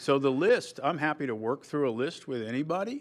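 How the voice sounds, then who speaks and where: A man's medium-pitched voice at a moderate speed, an ordinary speaking voice. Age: 60s. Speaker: petitioner at zoning hearing, farm owner. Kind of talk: public hearing testimony. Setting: town board meeting.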